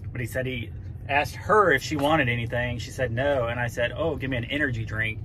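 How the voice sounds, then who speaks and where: Over light background noise, a man races along at a very fast pace with ordinary pitch variation. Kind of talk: casual vlog chat. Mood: joking, playful. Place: car.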